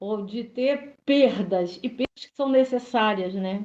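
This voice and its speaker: A woman talks fairly slowly, her fairly high voice showing ordinary pitch variation. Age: 60s. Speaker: study group participant. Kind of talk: group discussion. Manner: halting.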